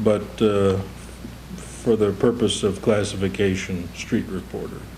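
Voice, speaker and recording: Speaking with an American accent at a fairly low pitch, a man moves at a fairly slow pace with lively intonation over noticeable background noise. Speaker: radio news reporter. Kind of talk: interview answer.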